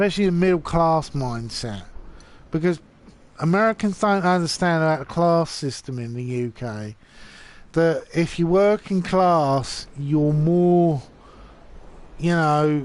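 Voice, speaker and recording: A man with a British accent, ordinary pitch variation and long, frequent pauses. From UK. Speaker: gamer streamer. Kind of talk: casual live stream chat. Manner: halting, repetitive.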